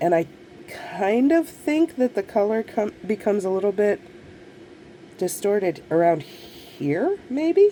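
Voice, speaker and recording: Very wide pitch swings mark this fairly slow delivery, broken by long, frequent pauses over noticeable background noise. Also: woman, medium pitch for a woman. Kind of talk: casual talk to camera.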